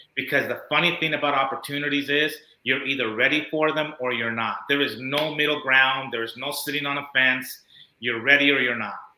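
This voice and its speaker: With audible room echo, a man speaks at a fairly quick pace in a fairly high voice with fairly even intonation. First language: not English. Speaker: motivational speaker and business owner. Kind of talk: interview.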